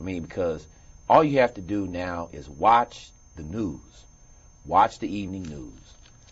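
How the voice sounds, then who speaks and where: Fairly slow, lively-intoned speech, somewhat breathy, with big swings in loudness and long, frequent pauses. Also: man, very deep, low pitch for a man. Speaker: talk show host. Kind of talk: interview questions.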